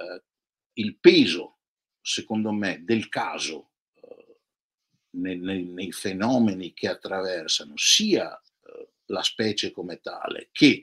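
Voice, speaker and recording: A man speaking at a very slow pace against a quiet background, with long, frequent pauses and big swings in loudness. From Venice, Italy; Italy. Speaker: professor. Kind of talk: casual philosophical conversation. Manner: hesitant with fillers. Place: home room. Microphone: webcam.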